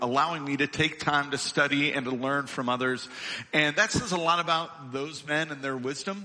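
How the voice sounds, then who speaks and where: A man talks at a moderate pace with a fairly high pitch, noticeable background noise audible throughout. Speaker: lead minister. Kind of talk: church welcome and introduction. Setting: church.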